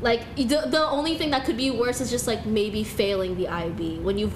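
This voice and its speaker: Over noticeable background noise and audible room echo, a woman speaks at a moderate pace with a fairly high pitch and lively intonation. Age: young. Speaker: singer. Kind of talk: casual chat. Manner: frequent fillers, casual.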